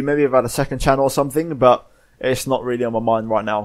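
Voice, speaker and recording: Speaking very fast with a British accent, a man uses a medium pitch and ordinary pitch variation on a very clean recording with a silent background. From Spain. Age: young. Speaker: gaming YouTuber. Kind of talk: casual Q&A monologue. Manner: hesitant, many fillers.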